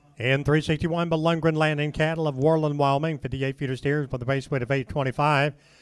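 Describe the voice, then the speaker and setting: Fairly quick in pace, the speech holds a fairly even intonation. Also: man. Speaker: livestock auction announcer. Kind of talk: reading out lot descriptions for a cattle auction. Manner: brisk, matter-of-fact listing of lot details.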